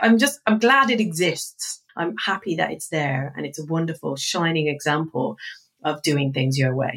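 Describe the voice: A woman speaks at a moderate pace and low pitch, her fairly bright tone carrying a slightly husky edge and ordinary pitch variation.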